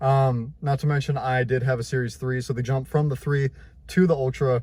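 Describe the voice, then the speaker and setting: A man's voice is somewhat breathy. His delivery keeps a moderate pace. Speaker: tech YouTuber. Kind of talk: casual vlog. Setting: outdoors. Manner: animated.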